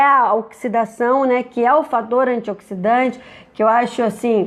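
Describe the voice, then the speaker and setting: At a moderate pace, a woman with a fairly high pitch has an ordinary speaking voice. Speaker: nutritionist. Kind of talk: live stream Q&A talk. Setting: live stream. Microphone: echo and stuttering stream, since improved.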